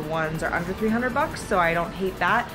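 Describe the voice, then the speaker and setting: Clear music in the background accompanies a woman as she talks. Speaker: vlogger. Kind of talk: casual vlog chat. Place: home room. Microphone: phone near.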